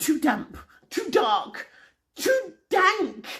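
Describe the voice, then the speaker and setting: A man performs a put-on character voice, squeaky and extremely high in pitch. His pitch swings very widely. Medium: read story.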